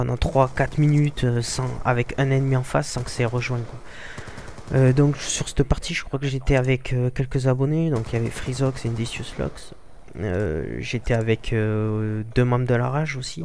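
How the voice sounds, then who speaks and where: A man with a Toulouse accent and fairly even intonation. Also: medium pitch for a man, moderate pace. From southern France, Toulouse. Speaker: gaming youtuber. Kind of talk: gameplay commentary. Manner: halting, many hesitations.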